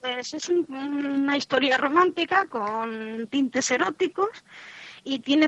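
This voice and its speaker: A woman at a fairly slow pace, high pitch, ordinary pitch variation and a dry, close sound with no echo. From Madrid, Spain. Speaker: novelist. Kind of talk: radio interview.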